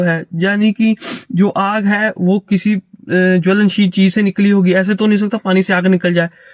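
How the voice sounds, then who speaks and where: At a high pitch with ordinary variation, a man speaks in a dry, close sound with no echo. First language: not Hindi, stronger in English and Sanskrit (speaking Hindi). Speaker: philosophy commentator. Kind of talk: lecture. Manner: halting.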